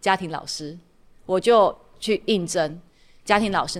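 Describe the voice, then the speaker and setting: Using an ordinary speaking voice, a woman talks at a moderate pace with medium pitch and ordinary pitch variation on a very clean recording with a silent background. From Taiwan, Tainan. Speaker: podcast host and startup consultant. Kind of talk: casual interview chat.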